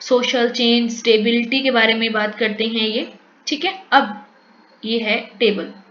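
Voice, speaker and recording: With a Punjabi accent, a woman speaks at a high pitch amid audible room echo. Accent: Punjabi tone in Hindi. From Punjab, India. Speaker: teacher. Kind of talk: lecture. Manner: code-switching Hindi-English.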